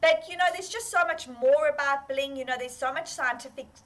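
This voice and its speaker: A woman speaks in an animated tone with a South African accent. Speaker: fashion entrepreneur. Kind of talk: interview.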